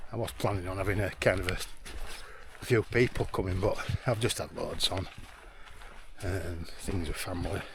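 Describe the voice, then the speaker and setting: A man with a very deep, low pitch speaks at a moderate pace with long, frequent pauses over noticeable background noise. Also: fairly even intonation. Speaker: hiking vlogger. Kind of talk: casual vlog narration. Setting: outdoors on fells. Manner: soft-spoken.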